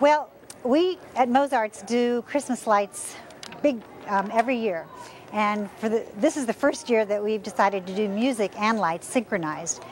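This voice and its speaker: A woman at a moderate pace, with light background noise and a dry sound with no echo. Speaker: interviewee. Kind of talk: interview answer. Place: street. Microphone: lapel.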